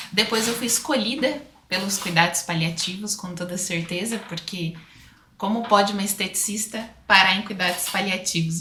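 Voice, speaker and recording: A woman speaks at a moderate pace with an interior São Paulo accent, her pitch medium and its variation ordinary. Noticeable background noise and audible room echo fill the recording. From Brazil, interior of São Paulo state. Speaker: aesthetician and speaker. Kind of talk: podcast interview.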